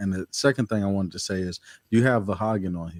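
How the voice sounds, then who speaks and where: A man's plain, everyday voice, fairly low in pitch with fairly even intonation, in a dry, close sound with no echo. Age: 30s. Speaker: portrait photographer. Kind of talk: casual chat.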